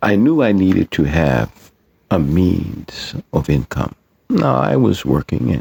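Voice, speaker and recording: A man speaks at a very slow pace with a very deep, low pitch, very wide pitch swings and vocal fry. His tone is dark and mellow, and the sound is dry and close with no echo. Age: 60s. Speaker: poet and writer. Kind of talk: personal testimony.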